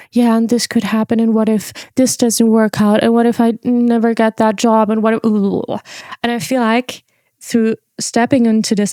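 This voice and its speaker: In a dry, close recording with no echo, a woman's fairly high-pitched voice carries a dark, mellow tone. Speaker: podcast host. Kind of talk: casual monologue.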